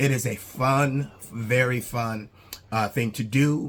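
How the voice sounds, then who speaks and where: A man talks with fairly even intonation. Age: 60s. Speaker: YouTuber, statue collector. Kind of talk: casual vlog monologue. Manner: hesitant, many fillers.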